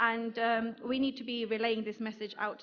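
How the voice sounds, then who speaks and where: With a British accent, the speech runs in a monotone, flat intonation. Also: woman. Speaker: marketing executive, conference speaker. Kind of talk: conference talk. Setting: stage with audience. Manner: hesitant, many fillers.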